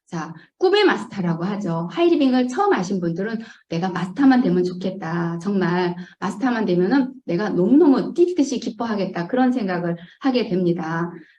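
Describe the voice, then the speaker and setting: Lively in intonation, a woman speaks at a medium pitch and moderate pace with audible room echo. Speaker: network marketing distributor. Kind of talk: business presentation. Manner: hesitant fillers.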